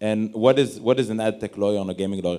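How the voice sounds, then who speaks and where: This is a man speaking with an Israeli accent. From Israel, Tel Aviv. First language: Hebrew. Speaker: lawyer. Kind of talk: panel discussion.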